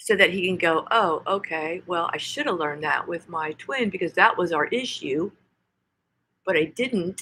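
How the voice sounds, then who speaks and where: With an American accent, a woman speaks at a medium pitch and a moderate pace. Her tone is bright and sharp, and her intonation is lively. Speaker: tarot reader. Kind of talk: tarot reading. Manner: preachy, emphatic.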